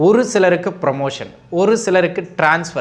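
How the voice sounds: A man with a high pitch speaks at a moderate pace with ordinary pitch variation.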